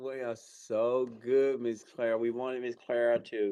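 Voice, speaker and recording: Medium male pitch from a man going fairly slowly. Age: 60s. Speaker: radio host. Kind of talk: radio talk show. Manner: animated.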